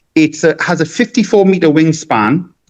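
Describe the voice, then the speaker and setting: Pitched fairly high, a man with a northeastern English accent speaks with vocal fry. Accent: non-Cork, English northeast. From northeast England (Gateshead). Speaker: balloon artist and magician. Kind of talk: podcast interview. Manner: halting, many restarts.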